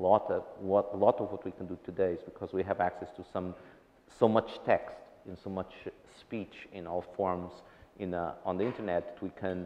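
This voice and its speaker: The loudness swings widely. The intonation stays monotone and flat. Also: man, very deep, low pitch for a man, moderate pace. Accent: non-native. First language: not English. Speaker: tech research director. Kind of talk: panel discussion. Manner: halting, many restarts.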